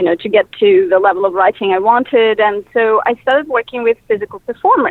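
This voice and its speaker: A woman with a Russian accent speaks at a moderate pace in a fairly high voice, her intonation lively. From Russia (Moscow). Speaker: filmmaker. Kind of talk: interview. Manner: halting, many fillers.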